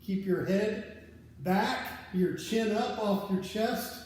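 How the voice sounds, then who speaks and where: Fairly even intonation amid audible room echo and noticeable background noise. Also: man. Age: 50s. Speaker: fitness coach. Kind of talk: workout instruction.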